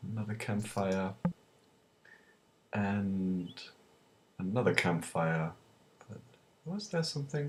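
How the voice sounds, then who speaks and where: In a non-native accent, a man with fairly low pitch and lively intonation talks at a very slow pace, leaving long, frequent pauses. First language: not English. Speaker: video game let's player. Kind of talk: gameplay commentary. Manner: hesitant, many filler words.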